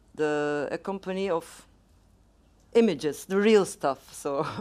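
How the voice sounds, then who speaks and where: The speaker has a Turkish accent. The pace is very slow. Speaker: film writer and moderator. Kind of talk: onstage interview.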